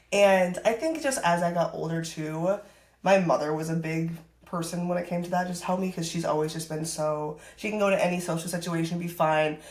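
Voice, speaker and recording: Audible room echo surrounds a woman speaking in an American accent, her tone animated and her pace fairly quick. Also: fairly low pitch for a woman. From US Midwest (northern Wisconsin). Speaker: fitness influencer and coach. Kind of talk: podcast interview. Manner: loud, outgoing; casual, animated.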